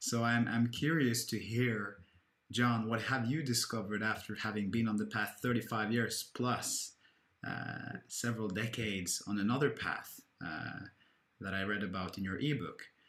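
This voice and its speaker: A plain, everyday voice from a man, medium in pitch, with fairly even intonation and a moderate pace. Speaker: podcast host. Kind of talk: casual chat. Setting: video call.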